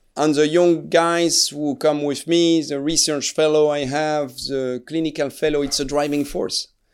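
A man with a French accent, fairly high in pitch, at a moderate pace, in a very clean recording with a silent background. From France, Alsace. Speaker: neurosurgeon. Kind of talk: interview. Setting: studio. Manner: hesitant, many filler sounds.

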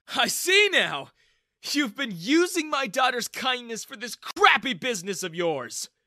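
A put-on character voice with a bright, sharp tone swings widely in pitch at a fairly slow pace, on a very clean recording with a silent background. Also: man, extremely high pitch for a man.

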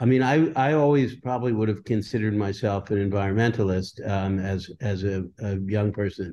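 In an American accent, a man speaks at a fairly quick pace with a fairly low pitch and a dark, mellow tone. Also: ordinary pitch variation, quiet background. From New Jersey, US. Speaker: journalist and lawyer. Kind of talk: interview testimony. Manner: halting, many fillers and repeats.

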